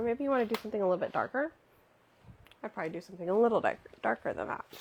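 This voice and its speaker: Soft-spoken and fairly high-pitched, a woman talks with ordinary pitch variation. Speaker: crafter streaming a notebook-making session. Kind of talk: live craft tutorial chat. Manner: soft-spoken, quiet.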